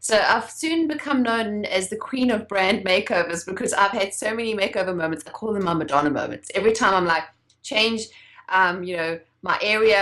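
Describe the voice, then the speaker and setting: Speaking at a fairly quick pace in a South African accent, a woman uses a medium pitch with ordinary pitch variation. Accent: foreign-sounding in the US, South African. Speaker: entrepreneur and branding expert. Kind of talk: interview.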